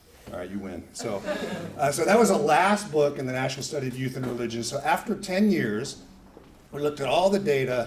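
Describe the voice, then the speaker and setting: Amid noticeable background noise and audible room echo, a man of medium pitch talks fairly quickly with very wide pitch swings. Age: 60s. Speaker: sociologist giving a talk. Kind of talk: lecture. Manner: casual, self-correcting.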